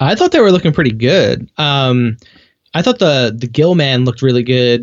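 In an ordinary speaking voice, a man talks at a moderate pace and medium pitch, with ordinary pitch variation. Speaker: movie podcast guest. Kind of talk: casual chat.

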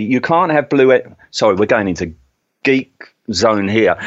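A man with an English accent, at a moderate pace, with very wide pitch swings. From England. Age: 50s. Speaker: podcast host. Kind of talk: casual chat.

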